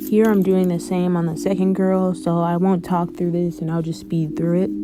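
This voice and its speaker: Noticeable background noise sits behind a woman's voice. She speaks at a moderate pace with a fairly low pitch. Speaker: art tutorial creator. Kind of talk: tutorial voice-over. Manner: monotone.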